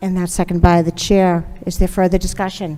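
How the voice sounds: The dark, mellow voice moves along at a fairly quick pace with little pitch movement. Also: woman, fairly low pitch for a woman.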